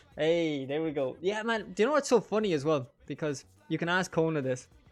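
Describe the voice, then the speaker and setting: Music behind a fairly quick, lively-sounding delivery. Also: man, fairly high pitch for a man. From Ireland, County Monaghan. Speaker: gaming streamer. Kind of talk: casual chat while gaming on stream. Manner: animated.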